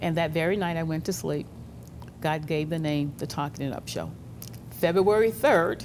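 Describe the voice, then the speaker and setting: A woman with a very deep, low pitch speaks with vocal fry and ordinary pitch variation. Long, frequent pauses break up her speech, and room echo is audible. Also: moderate pace. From New Orleans, Louisiana. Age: 70s. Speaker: radio talk show host. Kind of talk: interview, casual chat.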